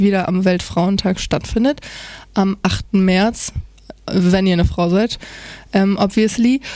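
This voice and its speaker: A dark, mellow tone at a fairly slow pace. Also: woman. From northern Germany, Oldenburg. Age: 20s. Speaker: student radio presenter. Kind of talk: casual chat; radio presenting.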